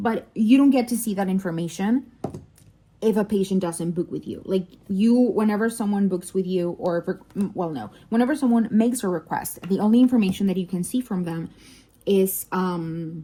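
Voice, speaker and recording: A woman's somewhat breathy, dark and mellow voice at medium pitch, with a Spanish accent, ordinary pitch variation and a moderate pace. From Mexico. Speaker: doctor and diamond painting vlogger. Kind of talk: casual chat. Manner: halting, many fillers.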